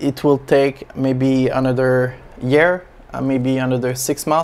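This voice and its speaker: A man speaks in a French accent at a very slow pace. His intonation is monotone and flat. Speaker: aquarium hobby YouTuber. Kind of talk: casual vlog update. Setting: small home space. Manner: halting, many fillers.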